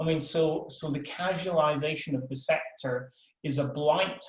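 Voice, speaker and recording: With a Scottish accent, a man speaks at a fairly slow pace in a fairly high voice. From Scotland. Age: old. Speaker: professor. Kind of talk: webinar talk. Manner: halting, many repeated words.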